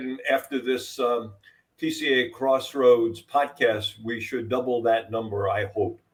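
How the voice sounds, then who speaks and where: A man with a New York accent speaks at a fairly slow pace. His medium-pitched voice shows ordinary pitch variation. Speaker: podcast co-host. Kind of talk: casual podcast chat.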